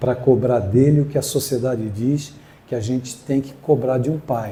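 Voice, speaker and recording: This man has a plain, everyday voice at a medium pitch. He talks at a moderate pace with fairly even intonation. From Brazil, São Paulo coast (Guarujá). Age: 60s. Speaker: spiritist speaker. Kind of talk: inspirational talk.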